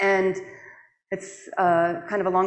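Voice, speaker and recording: There is audible room echo. The speaker is a woman. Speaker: public health director, conference speaker. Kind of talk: conference presentation. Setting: stage with audience. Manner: fast when passionate.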